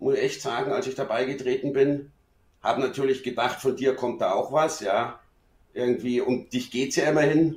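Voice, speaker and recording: Talking at a moderate pace, a man with a plain, everyday voice has a fairly high pitch and ordinary pitch variation. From Munich, Bavaria. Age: middle-aged. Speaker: friend of the host. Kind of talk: casual chat.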